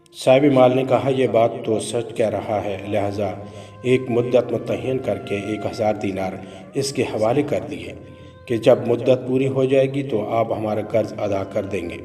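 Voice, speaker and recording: A man at medium pitch with fairly even intonation, music playing in the background. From Pakistan. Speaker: voice-over artist. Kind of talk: religious story narration.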